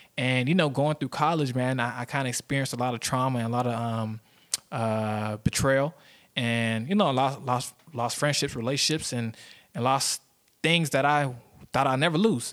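In a normal speaking voice, a man talks at a moderate pace with medium pitch and ordinary variation, on a very clean recording with a silent background. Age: 20s. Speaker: podcast host. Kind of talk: solo monologue podcast. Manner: casual, filler-heavy.

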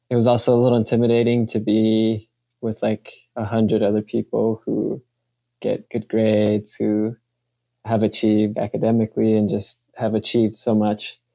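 In an American accent, a man talks in a flat monotone with a dark, mellow tone, recorded dry and close with no echo. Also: medium pitch for a man, moderate pace. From Kansas City, US Midwest. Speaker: medical student. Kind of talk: interview.

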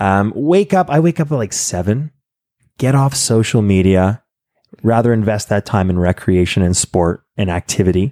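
A normal speaking voice with lively intonation, a moderate pace and very even loudness, dry and close with no echo, on a very clean recording with a silent background. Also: man, fairly low pitch for a man. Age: 20s. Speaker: podcast host. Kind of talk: casual interview chat. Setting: at home.

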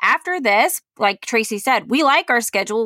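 An animated, bright, sharp tone at a moderate pace, with a dry, close sound and no echo. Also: woman. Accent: Southern US. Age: 30s. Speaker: podcast co-host. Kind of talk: casual chat; sponsor read.

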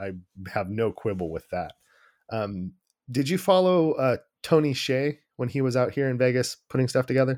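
A man with a plain, everyday voice talks at medium pitch and a moderate pace, his intonation lively, the sound dry and close with no echo. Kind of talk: interview.

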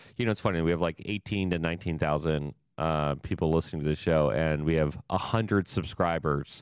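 A man with a very deep, low pitch speaks at a fairly quick pace with hardly any pauses, very even loudness and ordinary pitch variation. The recording is very clean, with a silent background. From Ohio. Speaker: podcast host, emergency management. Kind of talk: casual interview.

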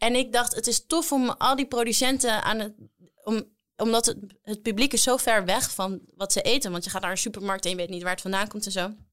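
A normal speaking voice from a woman, fairly high and fairly quick, with ordinary pitch variation. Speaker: cookbook author and actress. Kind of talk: casual chat.

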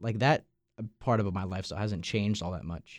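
A man with a fairly low pitch and a Long Island accent, on a very clean recording with a silent background. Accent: Long Island New York. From Long Island, New York. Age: young. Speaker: college radio podcast host, student. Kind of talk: casual chat. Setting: studio.

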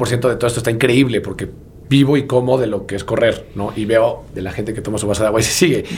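The speaker talks at a very fast pace in a Mexican accent. Audible room echo and noticeable background noise fill the recording. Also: man. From Mexico, Puebla. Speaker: marathon runner and running entrepreneur. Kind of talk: casual interview chat.

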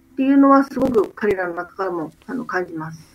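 Very wide pitch swings shape the speech of a woman with a high pitch. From Japan. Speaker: doctor and NGO leader. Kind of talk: radio interview.

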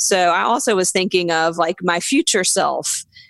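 Someone with a Southern US accent speaks at a fairly slow pace with ordinary pitch variation, in a dry, close sound with no echo. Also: woman. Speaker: comedian and podcast co-host. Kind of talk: casual interview chat.

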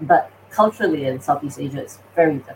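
Noticeable background noise runs under this clip. A woman speaks at a fairly quick pace. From Singapore. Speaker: AI company founder and CEO. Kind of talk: interview.

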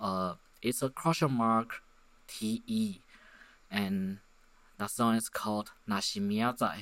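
Lively intonation and long, frequent pauses come through in this fairly slow delivery with a Chinese accent, set in a very clean recording with a silent background. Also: man. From Taiwan. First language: Mandarin Chinese. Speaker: podcaster. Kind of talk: solo monologue. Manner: halting; many fillers.

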